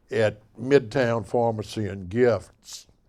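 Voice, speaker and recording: A man speaks very slowly with a Mississippi accent and fairly even intonation, on a very clean recording with a silent background. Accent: Southern US, Mississippi. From Bay St. Louis, Mississippi. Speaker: local historian, artist, and musician. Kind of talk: author talk. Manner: casual, folksy.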